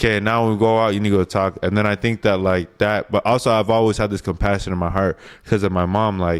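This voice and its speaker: A man with an American accent talks at a very fast pace with hardly any pauses. His pitch is fairly low, his intonation monotone and flat, and his loudness very even. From Utah, Salt Lake City area. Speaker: guest. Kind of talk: casual chat.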